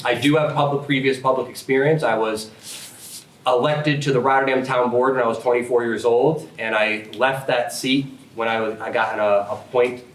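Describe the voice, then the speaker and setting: Over noticeable background noise with audible room echo, a medium-pitched man speaks at a moderate pace with fairly even intonation. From upstate New York, Schenectady County. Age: 30s. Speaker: political candidate. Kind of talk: candidate forum speech. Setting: public forum room, no microphones. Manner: loud.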